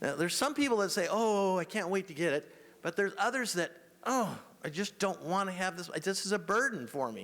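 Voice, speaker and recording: A man's high voice at a fairly quick pace, with lively intonation. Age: 60s. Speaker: estate planning adviser. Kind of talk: seminar presentation. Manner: fast.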